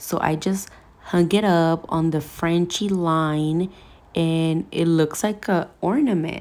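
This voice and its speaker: A woman's dark, mellow tone, fairly low in pitch, with fairly even intonation on a very clean recording against a silent background. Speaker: nail technician. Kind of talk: tutorial voiceover. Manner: soft-spoken.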